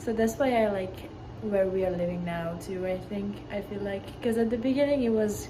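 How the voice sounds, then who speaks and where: A woman's medium-pitched voice at a moderate pace with ordinary pitch variation, amid noticeable background noise and audible room echo. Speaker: university athlete. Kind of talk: interview answers.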